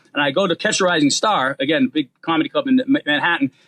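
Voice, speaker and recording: A very fast pace and lively intonation run through this voice, spoken with a Boston accent. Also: man. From Boston, US. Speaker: comedian. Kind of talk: casual chat.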